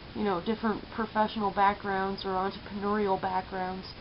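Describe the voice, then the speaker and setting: At a moderate pace, a woman speaks at medium pitch with monotone, flat intonation. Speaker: vlogger and entrepreneur. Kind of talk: casual vlog monologue. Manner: hesitant, many filler words; stutters when upset.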